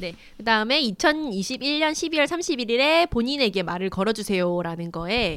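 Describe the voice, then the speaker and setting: A woman's fairly high voice with very wide pitch swings at a fairly slow pace, on a very clean recording with a silent background. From Gyeongsang region, South Korea. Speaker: independent magazine editor. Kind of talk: casual chat.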